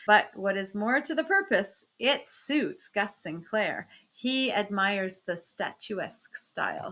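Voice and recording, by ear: Someone is reading aloud in a natural voice, the intonation lively.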